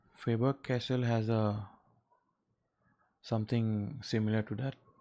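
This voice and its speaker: Speaking at a fairly slow pace with an Assam accent, a man has a medium pitch and a relaxed tone. His intonation is monotone and flat. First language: Assamese. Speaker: artist livestreamer. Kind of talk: casual livestream chat. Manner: hesitant, many fillers.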